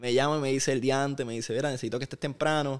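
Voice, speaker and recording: A man with a medium pitch, an unremarkable speaking voice, and fairly even intonation in a very clean recording with a silent background. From Puerto Rico (Aguadilla, west; later Vega Baja). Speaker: basketball broadcaster and sports executive. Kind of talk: interview. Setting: at his home.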